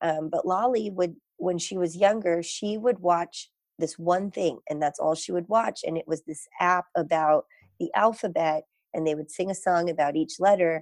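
Moderate pace and ordinary pitch variation, in a dry, close sound with no echo. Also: woman. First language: Gujarati. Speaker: parent of a child with ADHD. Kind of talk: interview.

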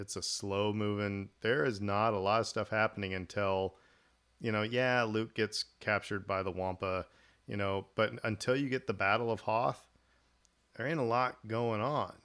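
Speaking with an American accent, a man with a fairly low pitch and a normal speaking voice talks at a moderate pace with fairly even intonation. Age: 40s. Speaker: podcast host. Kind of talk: casual chat.

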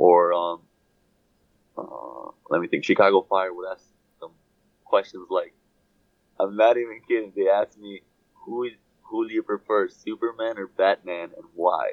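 A man with a Brazilian accent speaks at a fairly slow pace, leaving long, frequent pauses. His loudness swings widely. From Sao Paulo, Brazil. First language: Portuguese. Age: 20s. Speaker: professional soccer player. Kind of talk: interview.

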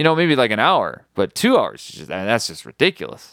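Fairly quick speech with an American accent and very wide pitch swings, dry and close with no echo, on a very clean recording with a silent background. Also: man. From US Midwest. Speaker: podcast host. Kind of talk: casual chat.

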